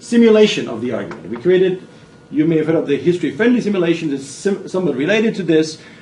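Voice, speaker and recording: A man's high-pitched, very fast, lively-toned speech, with noticeable background noise and audible room echo. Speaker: business school professor. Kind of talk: lecture.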